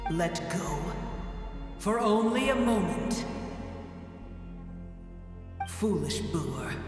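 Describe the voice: A man puts on a character voice, pitched high with big swings, at a very slow pace. Clear music plays in the background.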